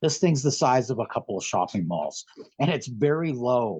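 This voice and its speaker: A man with an American accent speaks at a moderate pace and fairly high pitch, somewhat breathy, with very wide pitch swings. The sound is dry and close with no echo, over a quiet background. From San Francisco Bay Area, California. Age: 60s. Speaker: guest sharing alien contact experiences. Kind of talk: casual interview storytelling. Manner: talkative, animated.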